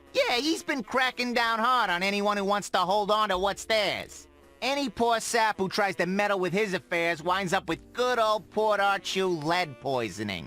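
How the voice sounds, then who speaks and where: Gruff and high-pitched, a man does a put-on character voice at a moderate pace. His loudness stays very even while faint music plays in the background. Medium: video game. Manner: gruff, slangy.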